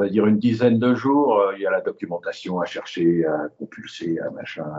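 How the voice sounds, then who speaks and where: Over noticeable background noise, a man with a fairly low pitch talks at a moderate pace with hardly any pauses. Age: 70s. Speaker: aviation illustrator. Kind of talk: interview. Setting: phone call. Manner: halting. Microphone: lower audio quality, phone line.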